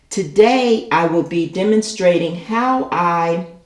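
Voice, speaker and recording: A woman talks in a fairly low pitch. Audible room echo and noticeable background noise surround her voice. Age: 60s. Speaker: elementary school teacher and gardening youtuber. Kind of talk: tutorial. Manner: casual, with frequent filler words.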